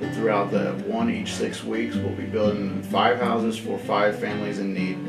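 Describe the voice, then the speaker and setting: Clear music plays behind the speaker. A man talks at a fairly quick pace. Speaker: shop teacher. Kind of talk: interview answer. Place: workshop.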